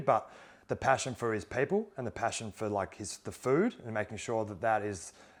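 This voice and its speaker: Speaking with an Australian accent, a man uses a medium pitch and ordinary pitch variation. The recording is very clean, with a silent background. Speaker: former pro footballer turned investor. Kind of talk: interview conversation. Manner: fast.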